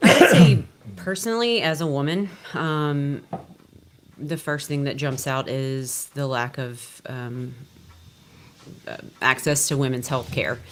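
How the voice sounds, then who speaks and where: With a Louisiana accent, a woman speaks fairly slowly at a very deep, low pitch, her intonation lively and her pauses long and frequent. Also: big swings in loudness. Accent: Louisiana Southern US. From Louisiana, Shreveport. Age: 40s. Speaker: physician assistant. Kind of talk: panel discussion.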